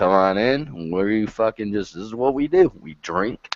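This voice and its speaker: A loud man with a fairly low pitch is heard in a dry, close sound with no echo. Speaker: live stream host. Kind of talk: casual chat.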